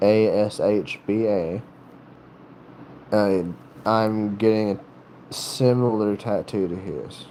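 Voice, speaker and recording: With an American accent, the speaker talks at a very slow pace in a flat monotone. Long pauses come often. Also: man, fairly low pitch for a man. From North Carolina, US South. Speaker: livestreamer with tattoos and piercings. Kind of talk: casual livestream chat. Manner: halting, many fillers and restarts.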